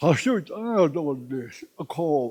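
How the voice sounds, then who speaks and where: In a Navajo accent, a man speaks with very wide pitch swings. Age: 80s+. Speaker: elder speaking at a campaign rally. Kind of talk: rally speech. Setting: campaign rally.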